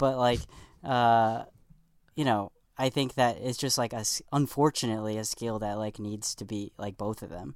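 A man's normal speaking voice with an American accent, medium in pitch, at a moderate pace, with ordinary pitch variation and big swings in loudness, in a very clean recording with a silent background. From New York. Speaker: comedy writer for late-night TV. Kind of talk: casual podcast interview.

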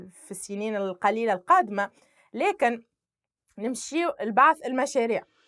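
Recorded very cleanly against a silent background, with a dry, close sound and no echo, a woman with an unremarkable speaking voice talks at a fairly slow pace, fairly high in pitch, with lively intonation. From Tunisia, Sfax. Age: 20s. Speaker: civil society activist. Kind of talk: interview testimony.

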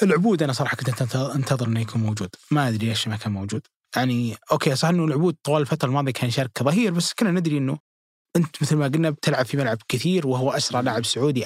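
Very fast, somewhat breathy male speech at medium pitch with ordinary pitch variation, in a dry, close sound with no echo on a very clean recording with a silent background. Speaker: football pundit. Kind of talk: casual chat.

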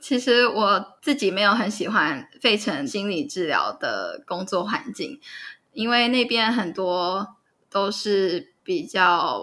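In a very clean recording with a silent background, a woman of medium pitch speaks at a very slow pace with lively intonation and a bright, sharp tone. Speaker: psychotherapist. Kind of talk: interview.

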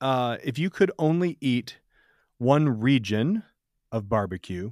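Speaking very slowly with lively intonation and a medium pitch, a man with an American accent is heard on a very clean recording with a silent background and a dry, close sound with no echo. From Michigan. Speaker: podcast host. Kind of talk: casual chat. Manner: halting.

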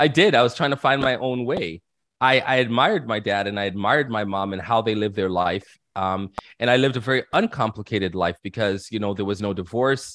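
A man with an unremarkable speaking voice talks at a fairly quick pace and a fairly low pitch, with ordinary pitch variation. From Canada, Toronto. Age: 40s. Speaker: minister. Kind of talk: casual interview.

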